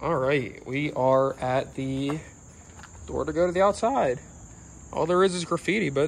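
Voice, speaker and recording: A man at a fairly slow pace, ordinary pitch variation, light background noise behind him. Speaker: urban explorer vlogger. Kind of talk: casual vlog chat. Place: waterside. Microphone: phone near.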